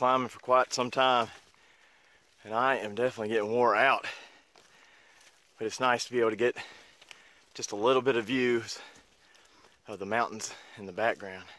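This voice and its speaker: Recorded with a dry sound and no echo, a man talks at a fairly quick pace. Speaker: backpacker vlogger. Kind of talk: casual vlog chat. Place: forest. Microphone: phone near.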